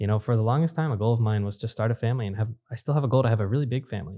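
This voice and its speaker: Against a quiet background, a man talks with lively intonation at a medium pitch, his tone dark and mellow and somewhat breathy. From US, immigrant from Brazil as a toddler. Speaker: entrepreneur. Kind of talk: podcast interview. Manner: casual.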